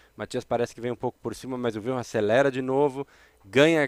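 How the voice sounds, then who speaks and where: In a Brazilian accent, a man speaks at a very fast pace with a medium pitch and monotone, flat intonation, in a very clean recording with a silent background and a dry, close sound with no echo. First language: Portuguese. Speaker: windsurfing commentator. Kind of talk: live commentary.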